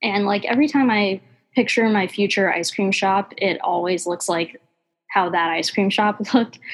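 With an American accent, a woman talks at a moderate pace in a normal speaking voice, medium in pitch, with ordinary pitch variation. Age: 20s. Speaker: ice cream business founder. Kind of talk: casual interview.

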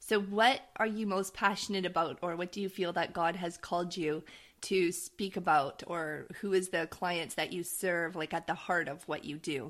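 A woman with an ordinary speaking voice, fairly low in pitch, at a moderate pace. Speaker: podcast host. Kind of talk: interview.

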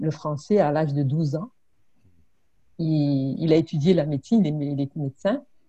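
The voice is dark and mellow, somewhat breathy, at a moderate pace. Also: woman. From Congo (southern), born in Burundi. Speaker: immigrant-services trainer and mediator. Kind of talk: casual interview conversation.

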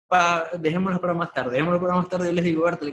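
The man speaks at a high pitch. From Venezuela, Maracaibo. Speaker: graphic designer. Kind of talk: interview.

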